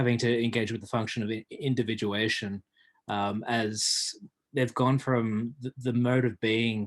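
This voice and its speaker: With monotone, flat intonation, a man with a medium-pitched voice speaks in a dry, close sound with no echo. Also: fairly slow pace. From Australia. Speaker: audience member asking a question. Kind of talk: question in a discussion. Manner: halting.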